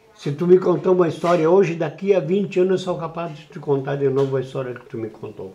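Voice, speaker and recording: Rushing at a very fast pace with hardly any pauses, a high-pitched man uses ordinary pitch variation, his loudness swinging widely over noticeable background noise. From southern Brazil, Rio Grande do Sul (Uruguaiana, Itaqui). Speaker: veteran radio broadcaster. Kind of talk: interview. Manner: animated.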